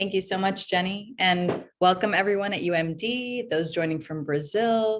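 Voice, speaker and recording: With hardly any pauses, a woman talks at a medium pitch with ordinary pitch variation. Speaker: associate director, moderator. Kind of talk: moderated interview, webinar. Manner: fast.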